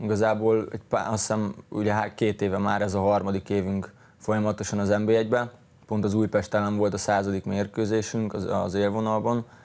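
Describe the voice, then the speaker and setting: A man speaks at a fairly low pitch. His intonation is monotone and flat. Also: moderate pace. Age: 20s. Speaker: professional footballer; guest. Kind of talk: interview. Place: studio. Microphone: lapel.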